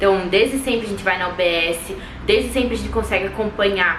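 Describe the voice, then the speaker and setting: Speaking at a moderate pace and a medium pitch, a woman is heard with audible room echo and noticeable background noise. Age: 20s. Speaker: medical student vlogger. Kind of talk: casual vlog talk.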